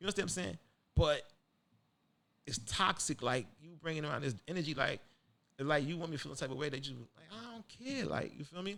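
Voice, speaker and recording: A man with a fairly high pitch and a bright, sharp tone talks at a very fast pace, with lively intonation, big swings in loudness, and long, frequent pauses. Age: 40s. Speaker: podcast host. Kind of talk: casual chat. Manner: animated; halting.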